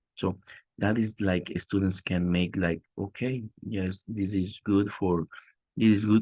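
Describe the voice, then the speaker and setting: A man with a Spanish accent speaks in a very deep, low voice with fairly even intonation. The sound is dry and close with no echo, over a quiet background. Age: 30s. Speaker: teacher trainee presenting. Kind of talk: class presentation. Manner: halting, many repetitions.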